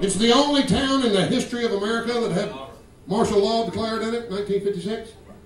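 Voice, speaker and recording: Against light background noise and audible room echo, a man speaks in a high pitch with fairly even intonation. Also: fairly quick pace. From Georgia. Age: 50s. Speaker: comedian. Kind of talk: stand-up. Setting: stage with audience. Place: stage.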